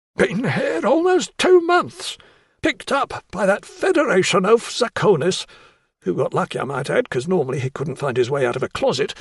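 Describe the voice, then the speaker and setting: A man puts on a raspy character voice pitched high. The sound is dry and close with no echo, and his pace is moderate. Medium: read story. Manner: prickly, boastful.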